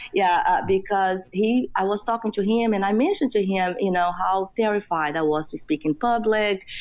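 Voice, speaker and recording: Against a quiet background, a woman with a Brazilian Portuguese accent speaks at a moderate pace with ordinary pitch variation and hardly any pauses. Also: medium pitch for a woman. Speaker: entrepreneur. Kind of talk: interview. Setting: podcast interview. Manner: many fillers like you know.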